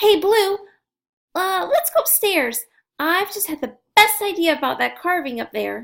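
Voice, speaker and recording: A squeaky, strained put-on character voice is raised and projected at a moderate pace. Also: woman, extremely high pitch for a woman. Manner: strained, forced cheerfulness.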